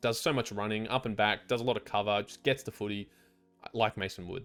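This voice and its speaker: A man with an Australian accent talks at a fairly quick pace, his pitch sitting in the middle range. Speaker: sports betting tipster. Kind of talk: casual monologue. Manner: fast.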